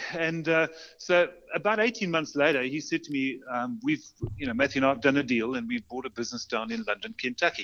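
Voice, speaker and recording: Intonation from this man is lively. He talks at a fairly quick pace. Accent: South African. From South Africa, Port Elizabeth and Johannesburg. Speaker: custom bicycle builder and shop owner. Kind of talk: interview. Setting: remote call.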